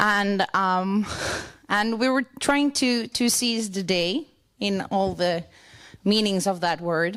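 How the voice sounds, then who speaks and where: A woman with a southern Swedish accent speaks at a very slow pace and medium pitch, with ordinary pitch variation and very even loudness, on a very clean recording with a silent background. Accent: Swedish (Scanian) accent in English. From southern Sweden (Skåne, Lund). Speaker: church worker. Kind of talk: conference presentation. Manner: halting.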